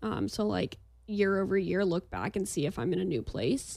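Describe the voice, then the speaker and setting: The voice has a dark, mellow tone and a moderate pace. The recording is very clean, with a silent background. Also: woman. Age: 20s. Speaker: marketing agency owner. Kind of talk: casual chat.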